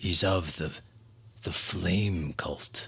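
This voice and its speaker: In a put-on character voice, a man speaks quietly in a raspy, very deep, low register. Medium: actual play. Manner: hushed, curt.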